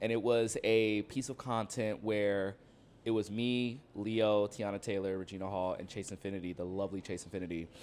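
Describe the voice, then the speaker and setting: Recorded very cleanly against a silent background, a man with a Southern California accent speaks at a moderate pace with fairly low pitch and fairly even intonation. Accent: Southern California American English. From Compton, Los Angeles County, California. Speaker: film critic and social media creator. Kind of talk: casual interview chat.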